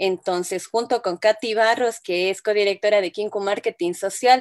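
A woman speaks at a fairly slow pace with ordinary pitch variation, in a dry, close sound with no echo. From Ecuador. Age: 30s. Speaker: illustrator and graphic designer. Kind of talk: interview. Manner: hesitant, many fillers.

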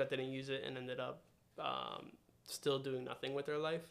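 The speaker has a New Jersey accent. Words come at a very fast pace. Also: man. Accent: New Jersey American. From New Jersey suburbs (Randolph). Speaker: podcast guest. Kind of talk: casual chat.

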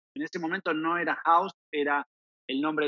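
This man talks at a fairly high pitch, his intonation fairly even. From Argentina. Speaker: proptech startup founder. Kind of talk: podcast interview. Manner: halting, repeats words.

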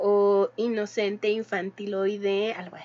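The woman speaking has a fairly high pitch. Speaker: podcast co-host. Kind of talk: casual chat.

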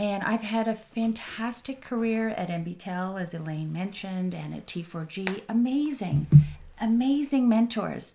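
A woman speaks at a medium pitch in a dark, mellow, somewhat breathy tone, with ordinary pitch variation. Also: fairly slow pace. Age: 50s. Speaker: tech CEO and social entrepreneur. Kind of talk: casual interview chat.

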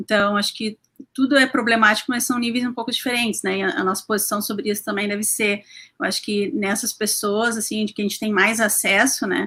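In a southern Brazilian accent, a woman talks at a fairly quick pace with a fairly high pitch, a bright, sharp tone and fairly even intonation. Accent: gaúcho Brazilian Portuguese. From Porto Alegre, southern Brazil. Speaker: animal rights activist. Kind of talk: casual live-stream panel chat. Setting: online live stream.

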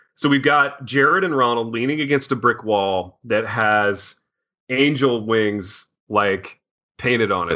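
He talks at a moderate pace and a medium pitch. It is a plain, everyday voice with ordinary pitch variation. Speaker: podcast host. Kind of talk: casual banter. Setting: studio.

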